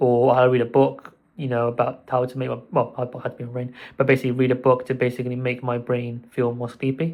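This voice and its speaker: A man speaks at a very fast pace at medium pitch. His intonation is flat and monotone. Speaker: mental health vlogger. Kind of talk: casual vlog monologue.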